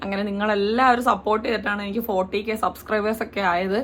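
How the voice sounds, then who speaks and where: Noticeable background noise behind fairly even intonation. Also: woman. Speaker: lifestyle vlogger. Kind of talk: casual talk to camera.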